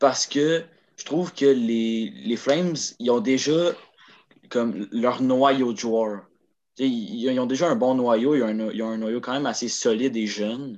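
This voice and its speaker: At a very slow pace with long, frequent pauses, a man talks at medium pitch with ordinary pitch variation. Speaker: hockey podcast co-host. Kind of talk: casual chat.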